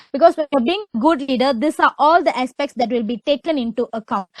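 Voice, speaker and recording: The voice is loud, with a dry, close sound and no echo. It moves at a fairly quick pace with ordinary pitch variation. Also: woman. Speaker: webinar speaker. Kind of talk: webinar talk. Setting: online webinar.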